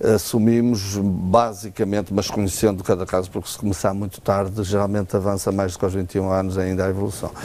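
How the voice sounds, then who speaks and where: Background noise is noticeable as a man talks very fast with hardly any pauses. His fairly low voice is monotone and flat. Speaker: ophthalmologist. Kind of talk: TV health interview. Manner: hesitant, many fillers.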